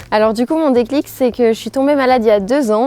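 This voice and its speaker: A woman has an unremarkable speaking voice, fairly high in pitch, with ordinary pitch variation. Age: 20s. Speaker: student entrepreneur. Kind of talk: promotional interview testimony.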